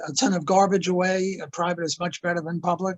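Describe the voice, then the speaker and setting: His voice sits high in pitch for a man. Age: 80s+. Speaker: economist. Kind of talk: interview. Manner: halting.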